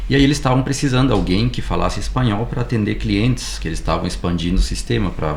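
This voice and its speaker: A man with a very deep, low pitch talks at a very fast pace with very wide pitch swings. Noticeable background noise and audible room echo surround him. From Uruguay, moved to Brazil at age 11. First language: Spanish (speaking Portuguese). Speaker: tech company employee. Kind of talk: podcast interview.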